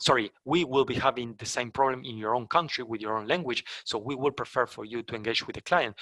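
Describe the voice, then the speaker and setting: A man with a Spanish accent talks at a fairly quick pace in a bright, sharp tone. The sound is dry and close, with no echo. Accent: non-native English, Spanish. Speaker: company trainer for sales partners. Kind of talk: webinar presentation. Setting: online webinar. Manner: halting, many fillers and restarts.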